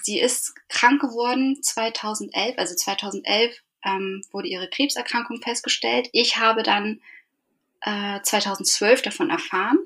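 A woman speaks very slowly in a fairly high pitch with ordinary pitch variation. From northern Germany, Eckernförde (Schleswig-Holstein). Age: 30s. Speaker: podcast guest, bereaved mother. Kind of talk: casual interview.

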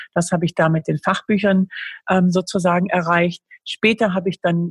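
Somewhat breathy speech at a moderate pace, fairly even in intonation, with a dry, close sound and no echo. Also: woman. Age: 50s. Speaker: author and speaker. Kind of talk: interview.

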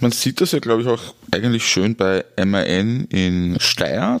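A man at a very slow pace, with ordinary pitch variation and noticeable background noise. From Austria, Styria. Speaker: podcast host. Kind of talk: interview.

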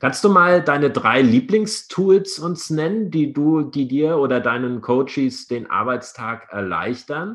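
Lively in intonation, a man with a fairly high pitch speaks very slowly with hardly any pauses. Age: 50s. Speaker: podcast host, lawyer. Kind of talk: interview. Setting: video call. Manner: formal.

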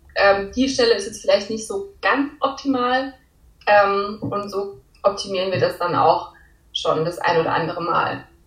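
A woman with a plain, everyday voice talks at a fairly slow pace, medium in pitch, with ordinary pitch variation. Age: 20s. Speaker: law student and part-time clothing designer. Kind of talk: casual interview.

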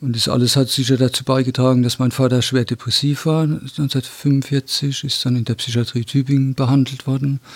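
A man talks at a moderate pace and medium pitch, somewhat breathy, with monotone, flat intonation and hardly any pauses. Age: 60s. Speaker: descendant of Nazi persecution victim. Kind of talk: interview testimony. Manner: halting, frequent hesitations.

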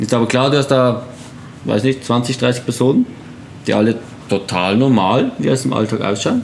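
A man talks at a moderate pace with very even loudness and long, frequent pauses. Noticeable background noise runs underneath. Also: medium pitch for a man, fairly even intonation. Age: 20s. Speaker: photographer and wheelchair user. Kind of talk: casual interview.

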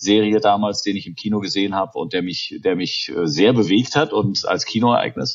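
The speaker is a man with a moderate pace. Pauses are almost absent. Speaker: film producer. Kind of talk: interview. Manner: hesitant, many fillers.

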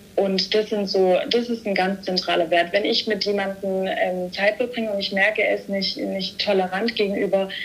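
Noticeable background noise runs under a woman's medium-pitched voice. She keeps a moderate pace and fairly even intonation. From Stuttgart, Germany. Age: 20s. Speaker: media business student. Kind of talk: casual interview chat.

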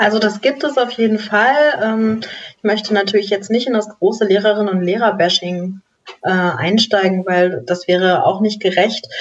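A woman talks at a moderate pace in a medium pitch, with ordinary rise and fall. She has a normal speaking voice. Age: 30s. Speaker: education nonprofit volunteer, first-generation graduate. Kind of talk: podcast interview.

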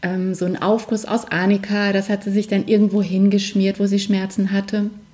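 Noticeable background noise runs under a woman speaking at medium pitch. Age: 40s. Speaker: alternative medicine practitioner. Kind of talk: interview.

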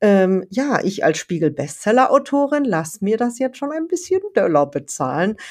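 This woman talks at a moderate pace with hardly any pauses, her fairly high pitch making very wide swings over a quiet background. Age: 50s. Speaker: writing coach and author. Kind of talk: solo podcast monologue. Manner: casual, chatty with fillers.

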